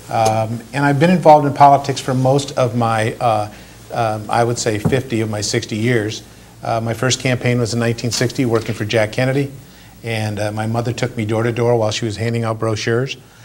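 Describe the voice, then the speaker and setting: The voice has an Upper Midwest accent and fairly even intonation, delivered at a fairly quick pace. Noticeable background noise sits behind it. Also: man, medium pitch for a man. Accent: Upper Midwest American. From Michigan (Flint). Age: 60s. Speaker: political candidate. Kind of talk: interview.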